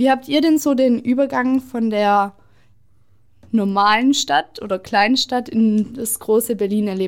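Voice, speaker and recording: Hers is an unremarkable speaking voice, fairly high in pitch, with ordinary pitch variation. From southwestern Germany (Stuttgart area, Oberkochen). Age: 20s. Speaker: vlog host. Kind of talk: casual chat.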